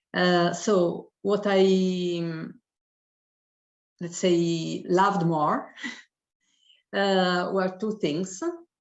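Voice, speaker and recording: A woman speaks at a very slow pace, her intonation monotone and flat. Long, frequent pauses break her speech, and audible room echo surrounds it. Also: medium pitch for a woman. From Italy. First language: Italian. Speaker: professor. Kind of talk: testimony. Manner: halting.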